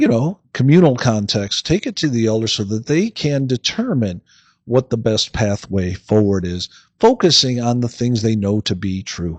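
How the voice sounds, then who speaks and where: A man's plain, everyday voice at medium pitch and moderate pace, with lively intonation and a dry, close sound with no echo. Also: quiet background. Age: 60s. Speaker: philosophy podcast host. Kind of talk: lecture-style podcast monologue. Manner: casual, with fillers and repetitions.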